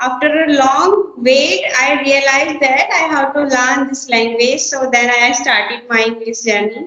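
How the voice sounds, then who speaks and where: This woman with an Indian accent uses a raised, projected voice at a high pitch and a fairly slow pace, with ordinary pitch variation, hardly any pauses and audible room echo. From India, Uttar Pradesh. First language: Hindi. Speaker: schoolteacher learning English. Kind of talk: casual conversation practice.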